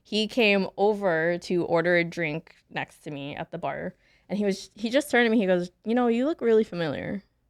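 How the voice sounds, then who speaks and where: A woman's medium-pitched voice moves at a moderate pace with lively intonation, heard in a dry, close sound with no echo. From Washington State, US. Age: 30s. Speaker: airline customer service manager and podcaster. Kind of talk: casual chat. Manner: animated storytelling.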